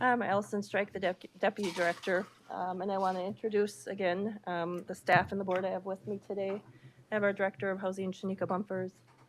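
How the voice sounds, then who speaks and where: At a fairly quick pace, a woman of medium pitch speaks with an American accent. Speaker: county agency deputy director. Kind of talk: public meeting presentation. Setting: county board meeting. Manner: formal.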